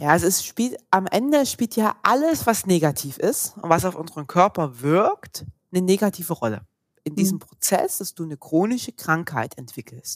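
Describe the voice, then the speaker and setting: A woman's voice with very wide pitch swings and big swings in loudness, dry and close with no echo. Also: medium pitch for a woman, moderate pace. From Saxony, eastern Germany. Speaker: physiotherapist. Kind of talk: interview.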